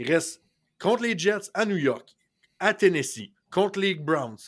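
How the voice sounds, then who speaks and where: A man with a Quebec accent, at a very slow pace with lively intonation, in a very clean recording with a silent background. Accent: Québécois French. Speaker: sports podcast co-host. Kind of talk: casual chat.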